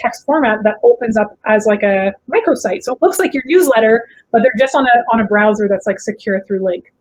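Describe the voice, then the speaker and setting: A woman talks quite quickly, her voice sitting fairly high. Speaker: conference speaker. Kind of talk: presentation. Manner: fast.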